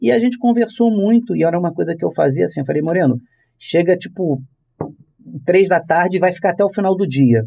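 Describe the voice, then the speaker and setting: A man with a dark, mellow tone, lively intonation, a fairly quick pace, and long, frequent pauses. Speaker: voice actor and dubbing director. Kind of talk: podcast interview.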